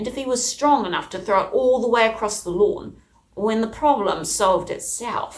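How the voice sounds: What we hear is a natural reading voice. It is heard here on its own.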